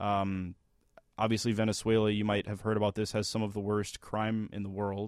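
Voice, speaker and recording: Fairly low-pitched male voice, monotone and flat, at a fairly quick pace, in a very clean recording with a silent background. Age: 20s. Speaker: radio podcast co-host. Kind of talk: casual chat and interview; news segment.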